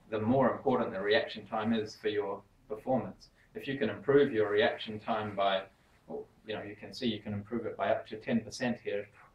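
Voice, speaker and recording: The man's pitch is fairly low and his voice somewhat breathy. He talks at a fairly quick pace with fairly even intonation. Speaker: sports science researcher. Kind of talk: lecture. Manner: fast.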